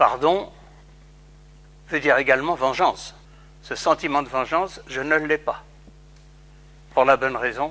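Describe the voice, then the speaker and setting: A man's voice with a fairly high pitch. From France, Paris. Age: 80s+. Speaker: Holocaust survivor. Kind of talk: testimony.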